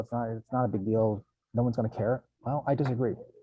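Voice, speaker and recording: A man in a plain, everyday voice talks fairly quickly at a medium pitch. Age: 50s. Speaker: recruiting company CEO. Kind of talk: workshop discussion.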